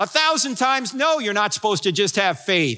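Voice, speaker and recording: Very fast and raised to project, a man's extremely high, bright, sharp voice with an American accent leaps through very wide pitch swings on a very clean recording with a silent background. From New Jersey. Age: 60s. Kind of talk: sermon. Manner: animated.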